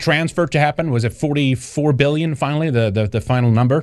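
At a fairly quick pace, a man talks with a Swedish accent against a quiet background. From Sweden. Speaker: show host. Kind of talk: live-stream news commentary. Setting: live stream. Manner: halting, filler-heavy.

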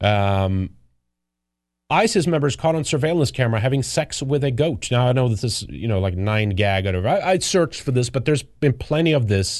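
A man with a Swedish accent, fairly quick in pace, lively in intonation and very even in loudness. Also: medium pitch for a man. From Sweden. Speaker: political commentary show host. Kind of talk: casual live commentary. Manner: halting.

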